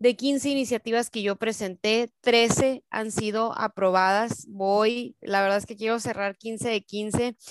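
A woman talks at a very slow pace with hardly any pauses and fairly even intonation. The recording is dry and close, with no echo. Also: fairly high pitch for a woman, quiet background. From Mexico, Sonora (Cananea). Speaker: local politician. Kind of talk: political interview.

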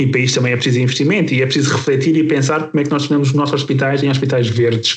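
Very fast and monotone, with flat intonation and very even loudness, a man speaks in a fairly high pitch. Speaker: podcast host, health professional. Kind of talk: podcast discussion.

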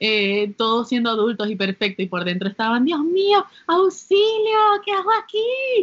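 Talking at a fairly slow pace with hardly any pauses, a woman uses a high pitch that swings very widely. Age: 20s. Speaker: podcast co-host. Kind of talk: casual chat. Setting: home during quarantine.

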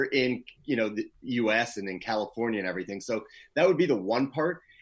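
An unremarkable speaking voice with lively intonation is heard on a very clean recording with a silent background. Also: man. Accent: Canadian. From Canada, Toronto. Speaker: PR agency founder, former radio DJ. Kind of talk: interview conversation.

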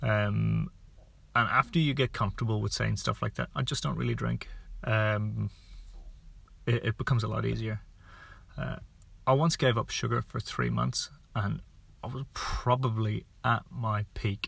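In an Irish accent, a man talks at a moderate pace with long, frequent pauses. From Ireland. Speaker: podcast host, sports nutrition. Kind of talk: casual monologue. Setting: in a car. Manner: conversational, unscripted.

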